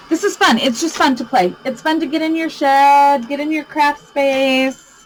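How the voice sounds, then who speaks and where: Music in the background behind a loud woman's high-pitched voice, fairly slow in pace, with ordinary pitch variation. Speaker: crafting youtuber. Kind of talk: tutorial. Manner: animated.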